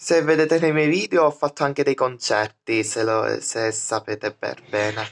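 A man speaks at a moderate pace with ordinary pitch variation and hardly any pauses. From Sicily. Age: 20s. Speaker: vlogger. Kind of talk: casual vlog monologue; casual vlog chat. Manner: halting. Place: home room. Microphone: phone near.

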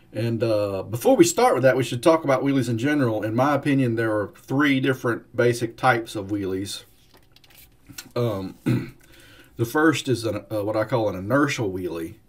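A somewhat breathy male voice at a moderate pace with ordinary pitch variation. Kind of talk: casual explanatory talk. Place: home room. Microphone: webcam.

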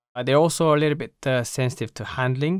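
A man at a very fast pace, ordinary pitch variation, dry sound with no echo, quiet background. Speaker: gear reviewer. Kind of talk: product review. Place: home room. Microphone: studio mic.

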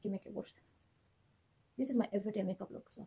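A somewhat breathy woman speaks with fairly even intonation. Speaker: beauty vlogger. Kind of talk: makeup tutorial. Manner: casual, filler-heavy.

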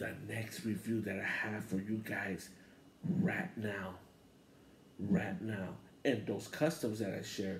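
Audible room echo and light background noise surround a somewhat breathy man speaking at a fairly slow pace. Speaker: wrestling channel host. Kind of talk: casual vlog chat. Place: home room. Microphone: handheld.

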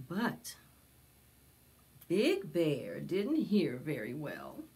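A woman with a low pitch and a dark, mellow tone speaks at a very slow pace, making very wide pitch swings.

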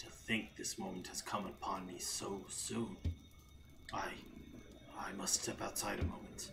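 Whispering in a put-on character voice, a man speaks at a moderate pace with long, frequent pauses. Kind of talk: reading game dialogue aloud. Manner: fervent, yearning.

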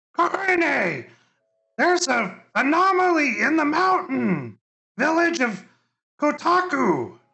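In a put-on character voice, a man speaks very slowly at an extremely high pitch. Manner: shrill squawking, urgent cries.

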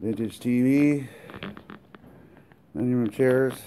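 A very slow pace, with music in the background. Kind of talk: casual walkthrough commentary. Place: garage. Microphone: phone near.

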